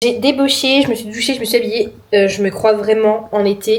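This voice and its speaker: Noticeable background noise surrounds this woman's voice. Her pitch is fairly high and her pace moderate. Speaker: lifestyle vlogger. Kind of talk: casual vlog talk. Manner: hesitant, many filler sounds.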